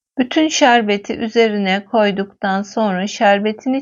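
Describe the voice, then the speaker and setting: Speaking at a fairly slow pace, a woman uses an ordinary speaking voice, fairly high in pitch with ordinary pitch variation. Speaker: cooking video host. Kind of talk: cooking tutorial.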